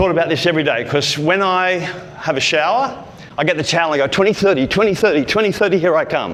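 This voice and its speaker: In an animated tone, a man with a high pitch and ordinary pitch variation speaks with audible room echo around him. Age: 60s. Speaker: speaking coach. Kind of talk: motivational talk.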